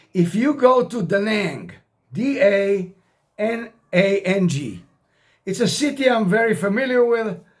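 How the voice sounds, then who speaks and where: A man with an American accent speaks at a fairly slow pace in a high voice, with lively intonation and long, frequent pauses. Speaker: retired expat vlogger. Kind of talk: casual vlog monologue. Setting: self-recorded on camera. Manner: informal, repetitive, some hesitations.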